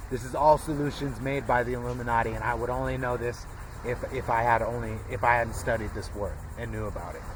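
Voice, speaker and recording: Amid audible room echo and noticeable background noise, a man rattles off his words very fast. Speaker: conspiracy and history vlogger. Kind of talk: solo monologue lecture. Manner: halting, repetitive filler words.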